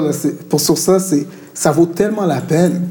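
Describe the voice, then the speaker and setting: Delivered at a moderate pace with fairly even intonation, the speech carries audible room echo and noticeable background noise. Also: man. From Montreal, Quebec. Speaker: art director and illustrator. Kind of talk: interview at a live talk. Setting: venue with live audience. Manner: casual, code-switching with English.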